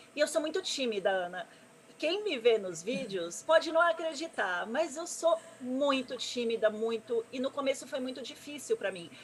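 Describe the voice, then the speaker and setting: Her voice high, a woman's pitch swings very widely and her loudness shifts sharply against noticeable background noise. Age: 30s. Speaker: gamer and streamer, presenter. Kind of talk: interview on live stream. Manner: fast.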